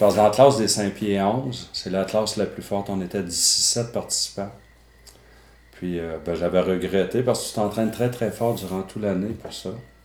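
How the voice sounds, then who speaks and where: Against noticeable background noise, a man speaks in a fairly low pitch with fairly even intonation. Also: moderate pace. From Quebec City. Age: 50s. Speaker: former bodybuilder. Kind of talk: testimony. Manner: halting.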